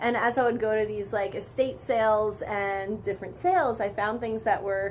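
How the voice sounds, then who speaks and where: A woman at a moderate pace with fairly even intonation, room echo audible. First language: Polish. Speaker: vintage boutique owner. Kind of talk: interview.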